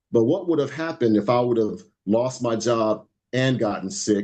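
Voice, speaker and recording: Lively in intonation, a man with a medium-pitched voice and a dark, mellow tone talks at a fairly quick pace. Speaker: financial educator. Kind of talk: webinar presentation. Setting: group call. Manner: fast.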